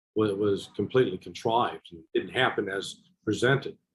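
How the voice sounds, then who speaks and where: A man with an American accent talks at a moderate pace. His is an ordinary speaking voice, medium in pitch. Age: 60s. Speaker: former intelligence officer. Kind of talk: interview.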